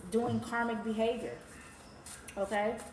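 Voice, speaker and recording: Audible room echo and noticeable background noise are both present in the clip. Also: woman. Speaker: tarot reader. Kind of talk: tarot reading. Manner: animated.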